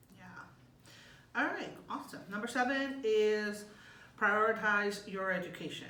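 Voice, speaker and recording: A woman's fairly high voice at a fairly slow pace, with long, frequent pauses, big swings in loudness, audible room echo and noticeable background noise. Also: ordinary pitch variation. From Mexico, moved to US at nine. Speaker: graduate student. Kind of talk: casual advice chat.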